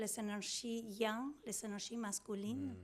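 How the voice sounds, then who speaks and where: This woman talks at a fairly slow pace with a Spanish accent. The recording is very clean, with a silent background. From Argentina. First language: Spanish (speaking French). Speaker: prenatal yoga teacher and doula. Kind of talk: interview. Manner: halting, many hesitations.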